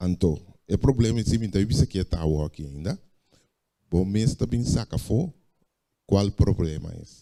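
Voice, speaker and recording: Speaking in a Curaçaoan accent, a man with a dark, mellow tone and fairly low pitch uses lively intonation and long, frequent pauses. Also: fairly slow pace. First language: Papiamento (speaking Spanish). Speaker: preacher. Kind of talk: sermon.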